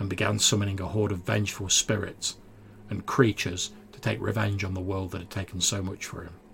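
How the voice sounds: A natural reading voice carries the whole clip.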